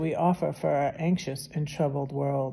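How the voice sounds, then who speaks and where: Speaking at a fairly slow pace, a woman has a dark, mellow tone and ordinary pitch variation. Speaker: video channel host reading devotional. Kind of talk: casual chat, devotional reading aloud, then fervent prayer. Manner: fervent, heartfelt, earnest and emotional prayer; chatty, warm, informal. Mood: calm, reverent. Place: home room. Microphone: phone near.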